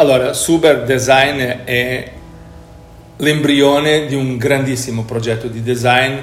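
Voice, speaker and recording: Speaking at a very slow pace with a Portuguese accent, a man uses a medium pitch over noticeable background noise and audible room echo. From Portugal, Lisbon. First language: Portuguese (speaking Italian). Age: 50s. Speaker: company executive. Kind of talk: interview.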